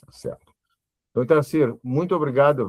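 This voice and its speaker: This is a man speaking with ordinary pitch variation. The sound is dry and close, with no echo. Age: 60s. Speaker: journalist and show host. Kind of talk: interview. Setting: live stream. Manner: halting, many repetitions.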